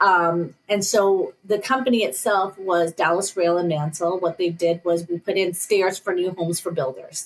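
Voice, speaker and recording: Hardly pausing, a woman with a fairly low pitch speaks at a moderate pace with ordinary pitch variation. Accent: Northern US. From northern US. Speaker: business owner. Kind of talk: interview.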